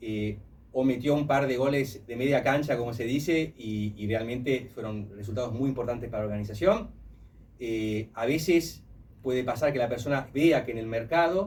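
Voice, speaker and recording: Somewhat breathy and medium in pitch, a man talks at a moderate pace with ordinary pitch variation. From Italy. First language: Italian (speaking Spanish). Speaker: human resources professional. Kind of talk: radio interview. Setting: radio studio.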